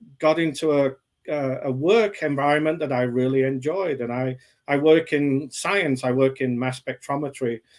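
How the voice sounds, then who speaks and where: Ordinary pitch variation and a moderate pace come through in a very clean recording with a silent background. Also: man. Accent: English. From England. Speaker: author. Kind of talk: interview.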